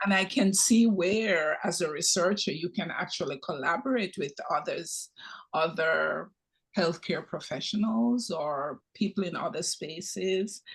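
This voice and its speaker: Against a quiet background, a man with a Jamaican accent speaks fairly slowly at a high pitch. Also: ordinary pitch variation. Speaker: retired nursing professor and nurse practitioner. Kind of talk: audience comment in Q&A.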